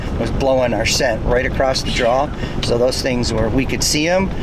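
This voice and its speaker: A man talks at a medium pitch and a fairly quick pace, keeping his intonation fairly even. There is noticeable background noise and audible room echo. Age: 50s. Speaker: outdoor show co-host. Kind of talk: casual chat. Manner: halting.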